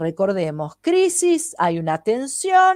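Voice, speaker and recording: A woman speaks at a very slow pace, her pitch swinging very widely. The sound is dry and close with no echo, in a very clean recording with a silent background. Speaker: holistic therapist. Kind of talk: lecture.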